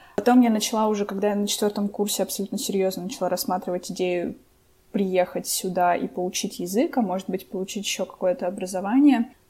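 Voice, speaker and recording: Speaking at a very fast pace, a woman has a somewhat breathy, dark, mellow tone at a medium pitch. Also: ordinary pitch variation. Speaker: podcast co-host. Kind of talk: casual chat.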